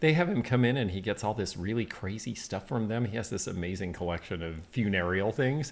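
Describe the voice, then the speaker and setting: A man speaks with lively intonation. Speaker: antique dealer. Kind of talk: casual chat. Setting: livestream. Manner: quieter than the host. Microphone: too far from the mic.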